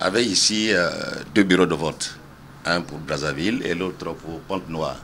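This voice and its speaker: A man's very deep, low voice with ordinary pitch variation, a fairly slow pace and long, frequent pauses, over noticeable background noise. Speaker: electoral commission official. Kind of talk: interview. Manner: hesitant, many fillers.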